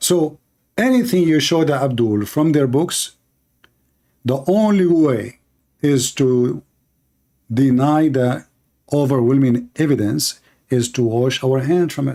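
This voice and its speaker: A man with an Arabic accent speaks at a very slow pace, leaving long, frequent pauses, in a fairly high pitch with a dark, mellow tone and ordinary pitch variation. His loudness stays very even, and the recording is very clean with a silent background. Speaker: religious debater. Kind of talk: heated debate.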